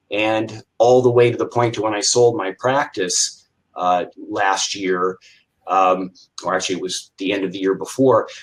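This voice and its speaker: A man with an American accent talks at a fairly slow pace with ordinary pitch variation. He has a plain, everyday voice. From Iowa, US Midwest. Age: 60s. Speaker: retired chiropractor and business coach. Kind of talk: interview.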